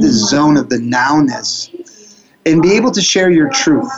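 Over noticeable background noise, a man with an American accent talks at a fairly high pitch. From Florida. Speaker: speaker trainer and coach. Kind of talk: motivational interview. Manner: upbeat, motivational.

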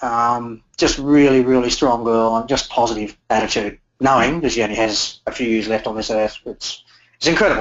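In an Australian accent, a man speaks at a fairly quick pace, his medium-pitched voice keeping a fairly even intonation. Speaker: motorcycle tour business owner. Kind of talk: interview. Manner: halting.

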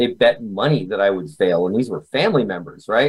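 A man speaks at a fairly quick pace with a medium pitch. It is an ordinary speaking voice. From Canada. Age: 40s. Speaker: memory expert and author. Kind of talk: interview.

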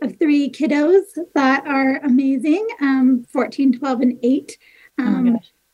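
A woman's high-pitched voice with an American accent, a dark, mellow tone and a fairly slow pace. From Michigan, west side. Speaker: nonprofit outreach worker. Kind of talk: casual interview chat. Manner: animated.

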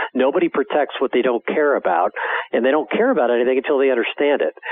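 Talking very fast with lively intonation, a man with an American accent is heard over noticeable background noise. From Wisconsin, US Midwest. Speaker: outdoor TV producer and hunter. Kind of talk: radio interview.

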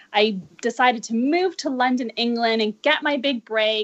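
A woman speaks in a fairly high voice with a bright, sharp tone. The background is quiet. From Canada, Vancouver. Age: 40s. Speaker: dancer and life coach. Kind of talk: interview.

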